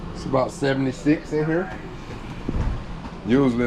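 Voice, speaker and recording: Medium-pitched male speech with a Georgia accent, ordinary pitch variation, and a moderate pace, plus noticeable background noise. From Georgia, US South. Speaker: RV travel vlogger. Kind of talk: casual vlog talk.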